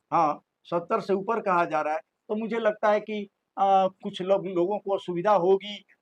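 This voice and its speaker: The sound is dry and close, with no echo. A man with a high voice speaks at a moderate pace with fairly even intonation. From Bihar, India. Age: 80s+. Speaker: interviewee, elder social commentator. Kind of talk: interview. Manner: halting with fillers.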